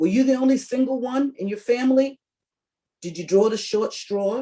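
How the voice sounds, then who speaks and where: A woman talks at a fairly quick pace in a somewhat breathy, dark, mellow tone with ordinary pitch variation. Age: 60s. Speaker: workshop presenter on caregiving. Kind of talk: presentation.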